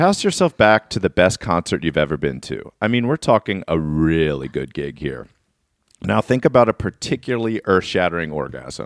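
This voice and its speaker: A man talks at a moderate pace with a very deep, low pitch, vocal fry and very wide pitch swings. The sound is dry and close, with no echo. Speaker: comedy podcast co-host. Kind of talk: casual chat. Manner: subdued, holding back volume.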